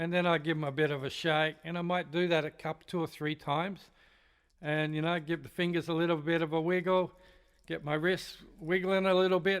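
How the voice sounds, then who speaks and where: A man with a high voice speaks at a fairly quick pace in a monotone, flat intonation. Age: 60s. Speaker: drum teacher. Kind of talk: tutorial. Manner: casual, conversational.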